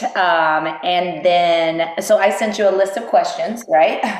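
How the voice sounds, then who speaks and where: Over noticeable background noise, a woman speaks very slowly at a fairly low pitch. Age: 40s. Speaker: podcast host. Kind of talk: podcast interview questions.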